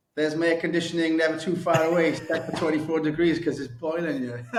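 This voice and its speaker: A man with a fairly high voice is heard with audible room echo. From South Wales, Swansea. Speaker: sales trainer. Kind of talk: casual interview. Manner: halting.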